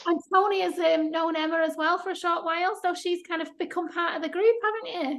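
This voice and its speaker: With a Mancunian accent, a woman talks at a fairly quick pace in an extremely high pitch, her intonation fairly even and hardly any pauses between words. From Manchester, England. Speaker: paranormal investigator. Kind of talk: casual interview.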